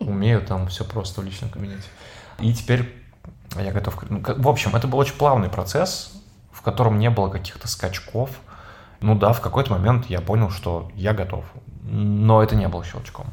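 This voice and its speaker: Pausing long and often, a man speaks at a moderate pace with a fairly low pitch, ordinary pitch variation and big swings in loudness. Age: 30s. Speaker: podcast host, former radio host and PR specialist. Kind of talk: casual chat.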